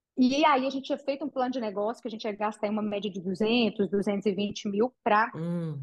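A woman's fairly high, somewhat breathy voice with ordinary pitch variation at a moderate pace. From Brazil, interior of Minas Gerais (Patrocínio). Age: 40s. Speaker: entrepreneur, franchise founder. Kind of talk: interview.

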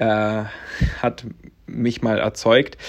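The man's voice is medium in pitch, set against a quiet background. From Latvia, then Stendal, Saxony-Anhalt. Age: 20s. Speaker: podcast host, network marketer. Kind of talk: personal storytelling monologue. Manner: casual, many filler sounds.

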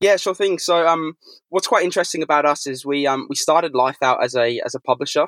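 At a very fast pace, a man talks in a fairly high pitch with ordinary pitch variation, the sound dry and close with no echo. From England and Australia. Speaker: sports tech company representative. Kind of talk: interview, casual business chat.

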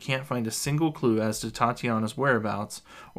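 The speaker gives a plain reading aloud. Pitch varies normally.

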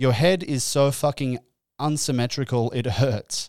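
Animated tone from a man at a fairly slow pace, dry and close with no echo. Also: very clean recording, silent background. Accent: Australian. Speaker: comedian and podcaster. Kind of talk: solo comedic podcast monologue. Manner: animated, self-deprecating.

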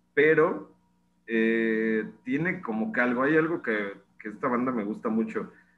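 Someone with a Mexican accent speaks at a very slow pace. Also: man. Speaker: podcast co-host. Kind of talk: casual chat.

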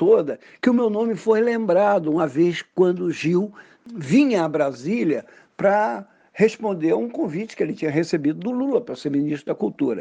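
A man's high-pitched voice, dark and mellow in tone, with very wide pitch swings at a moderate pace. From Brazil, Pernambuco. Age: 70s. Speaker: poet and journalist. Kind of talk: interview.

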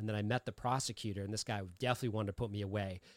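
An ordinary speaking voice with an American accent and fairly even intonation. The recording is very clean, with a silent background. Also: man. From Massachusetts, Lowell. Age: 40s. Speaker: recovery podcaster and author. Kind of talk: casual chat.

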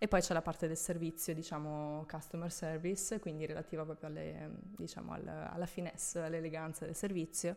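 On a very clean recording with a silent background, a woman talks at a fairly quick pace in a fairly low pitch, with monotone, flat intonation and vocal fry. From central/northern Italy (Tuscany, Veneto). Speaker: former flight attendant. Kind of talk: casual interview.

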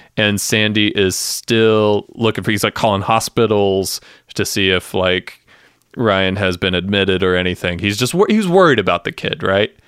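In an ordinary speaking voice, a man with an American accent talks at a moderate pace and a fairly low pitch. His intonation is fairly even, and the sound is dry and close, with no echo. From US South. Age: 30s. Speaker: podcast co-host. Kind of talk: casual chat. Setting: at home remotely.

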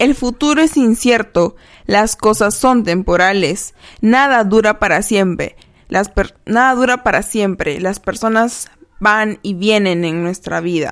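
A woman at a fairly high pitch and very slow pace, with ordinary pitch variation, in a very clean recording with a silent background. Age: 20s. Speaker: podcast host. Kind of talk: reflective monologue; reading aloud.

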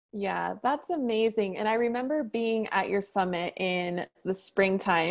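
A woman speaks at a fairly slow pace. Her pitch sits in the middle range. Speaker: podcast host and business coach. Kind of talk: casual interview chat. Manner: enthusiastic.

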